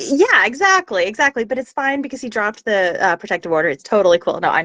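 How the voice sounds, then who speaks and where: A high-pitched woman with an American accent, bright and sharp in tone, with very wide pitch swings, a very fast pace, and a dry, close sound with no echo. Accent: Oklahoma accent trained away. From Oklahoma, US. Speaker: voice actor. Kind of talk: casual interview chat. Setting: live video call.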